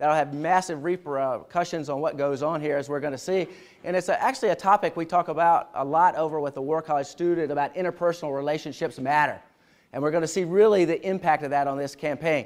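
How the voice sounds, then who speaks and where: A man at a very fast pace, fairly high in pitch with ordinary variation, on a very clean recording with a silent background. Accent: Southern US. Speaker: military history lecturer. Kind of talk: lecture. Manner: animated; casual, conversational.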